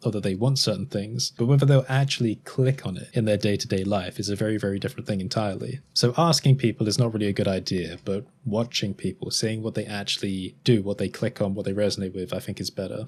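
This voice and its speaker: A very fast-talking man with an Estuary accent, fairly low in pitch, with ordinary pitch variation and hardly any pauses. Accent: Estuary English, between RP and Cockney. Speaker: YouTuber. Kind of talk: casual podcast monologue. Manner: casual, relaxed.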